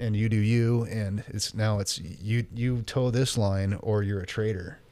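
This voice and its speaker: A man with a plain, everyday voice and an American accent talks at a moderate pace, his fairly low pitch held to fairly even intonation. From North Idaho, US. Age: 40s. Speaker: purchasing manager and city councilman. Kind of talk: casual chat.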